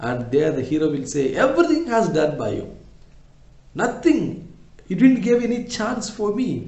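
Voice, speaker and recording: A man with a high voice speaks at a moderate pace, his pitch swinging very widely, with audible echo in the room. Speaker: English teacher. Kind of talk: lecture.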